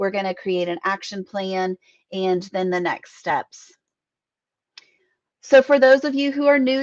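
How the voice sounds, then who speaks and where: An ordinary speaking voice from a woman at a fairly slow pace, with lively intonation, a quiet background, and a dry, close sound with no echo. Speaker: business mindset coach. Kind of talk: live online training. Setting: live stream.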